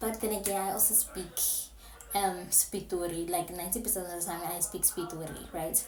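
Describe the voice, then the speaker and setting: A woman speaks at a moderate pace. Background noise is noticeable. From South Africa, Pretoria (Soshanguve). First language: Setswana / Pretoria Sepitori. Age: 20s. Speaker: YouTuber, university student. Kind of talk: casual vlog chat. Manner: animated.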